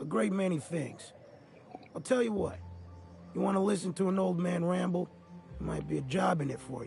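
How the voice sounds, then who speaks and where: Over clear music in the background, a man in a raspy put-on character voice at a high pitch talks at a fairly quick pace, with lively intonation and long, frequent pauses. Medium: video game. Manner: rambling, folksy.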